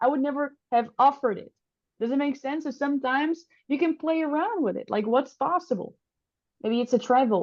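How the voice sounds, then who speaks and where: A woman with a non-native accent speaks high-pitched and fairly quickly. The background is quiet. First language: not English. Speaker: public speaking coach. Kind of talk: workshop presentation. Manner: animated.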